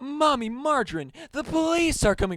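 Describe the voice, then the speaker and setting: Speaking at a moderate pace, a man uses a put-on character voice. His pitch is extremely high. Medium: read story.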